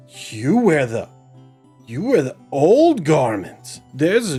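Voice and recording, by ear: A man's put-on character voice, fairly high-pitched and very slow, with very wide pitch swings and faint music in the background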